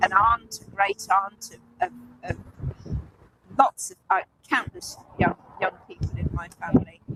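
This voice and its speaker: With an English accent, a woman speaks at a fairly slow pace with long, frequent pauses, in a dry, close sound with no echo. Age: 60s. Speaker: climate protester. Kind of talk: street interview. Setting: outdoors at a protest blockade. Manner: halting, many repetitions.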